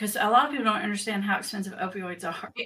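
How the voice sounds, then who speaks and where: This woman has a Southern US accent, a medium pitch and ordinary pitch variation. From Tennessee, US South. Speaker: addiction specialist, podcast host. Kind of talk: interview.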